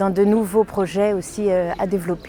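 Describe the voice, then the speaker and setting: With noticeable background noise behind her, a woman of medium pitch speaks fairly slowly in a monotone, flat intonation. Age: 50s. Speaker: parliamentary assistant and candidate. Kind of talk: campaign statement.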